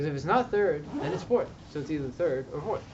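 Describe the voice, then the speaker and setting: Noticeable background noise and audible room echo around a man's fairly high pitch. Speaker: LSAT tutor. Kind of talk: tutoring session with students.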